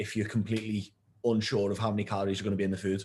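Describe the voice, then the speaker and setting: Against a quiet background, a man with a British accent speaks somewhat breathily in a flat monotone at a fairly low pitch. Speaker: nutrition coach. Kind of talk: tutorial.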